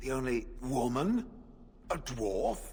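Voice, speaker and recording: A man performs a put-on character voice. Clear background noise runs through the clip. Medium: video game. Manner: blunt, formal.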